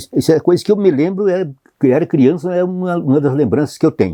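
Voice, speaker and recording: A man speaks with a dark, mellow tone. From Rio Grande do Sul, Brazil (rural interior). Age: 80s+. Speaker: photographer. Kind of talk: life story interview. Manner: halting, many false starts and repetitions.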